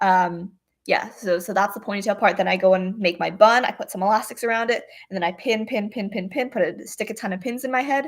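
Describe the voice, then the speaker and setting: In a very clean recording with a silent background, a woman talks at a fairly quick pace with a Canadian accent. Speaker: retired rhythmic gymnast. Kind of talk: livestream Q&A chat. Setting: livestream on computer. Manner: fast.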